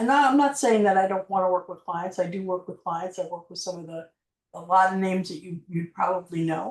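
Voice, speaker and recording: A woman with an American accent at a fairly quick pace, ordinary pitch variation, and big swings in loudness. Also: medium pitch for a woman. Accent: New York accent, comes out sometimes. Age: 60s. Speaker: marketing agency owner and coach. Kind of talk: interview. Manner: halting, many fillers.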